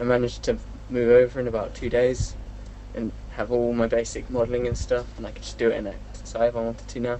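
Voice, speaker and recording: A man talks at a very fast pace with big swings in loudness, against noticeable background noise. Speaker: CG artist, co-interviewer. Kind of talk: casual chat.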